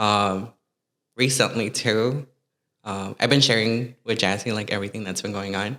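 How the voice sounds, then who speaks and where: Bright and sharp in tone yet fairly low in pitch, a man speaks at a moderate pace with fairly even intonation on a very clean recording with a silent background. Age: 20s. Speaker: hairstylist. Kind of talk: casual chat.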